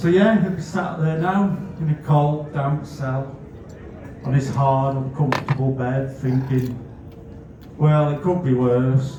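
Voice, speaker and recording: With a Scouse accent and ordinary pitch variation, the speaker leaves long, frequent pauses amid noticeable background noise and audible room echo. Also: man, fairly high pitch for a man. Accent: northwest England (Scouse). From northwest England, Netherton, Bootle (Merseyside). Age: 40s. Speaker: comedian. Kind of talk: stand-up.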